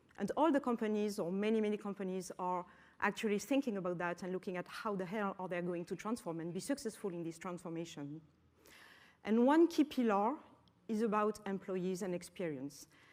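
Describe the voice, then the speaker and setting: On a very clean recording with a silent background, a woman speaks fairly quickly at a medium pitch. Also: lively intonation. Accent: French. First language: French. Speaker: business executive. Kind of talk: conference talk. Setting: auditorium with audience.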